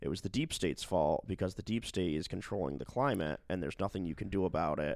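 Here a man speaks with a very deep, low pitch. His pitch variation is ordinary. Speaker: podcast co-host. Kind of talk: casual chat. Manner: muted, formal.

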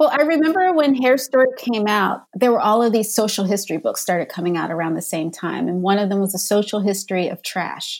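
A woman with an American accent talks at a fairly quick pace, with hardly any pauses. Her pitch is medium and her intonation lively. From Philadelphia, US. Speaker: author and journalist. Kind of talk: casual interview chat. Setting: remote recording from home office.

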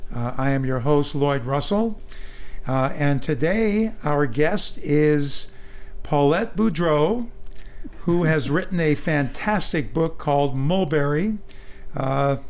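A man with an American accent at a very slow pace, very even loudness and ordinary pitch variation. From Northern California, East Bay. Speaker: radio host, book reviewer. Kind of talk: interview. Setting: radio studio. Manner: halting, many fillers.

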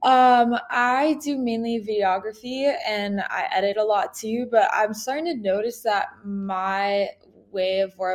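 A woman with an American accent talks fairly slowly in a normal speaking voice with ordinary pitch variation. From US, New York City. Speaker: filmmaker and video editor. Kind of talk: casual chat.

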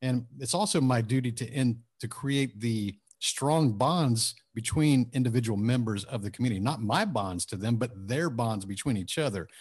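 A man with an American accent and a somewhat breathy voice at medium pitch speaks at a moderate pace with ordinary pitch variation and hardly any pauses, against a quiet background. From Texas, Houston suburbs. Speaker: author and entrepreneur. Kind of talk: interview.

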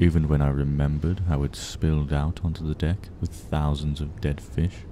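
Over noticeable background noise, a man talks at a moderate pace in a very deep, low voice with fairly even intonation. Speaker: podcast storyteller reading creepypastas. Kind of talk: horror story narration, reading aloud.

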